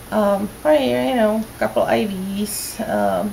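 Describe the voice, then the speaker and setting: Against noticeable background noise, a woman talks very slowly. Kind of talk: casual talk to camera, video diary. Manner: slow, sleepy. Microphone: phone near.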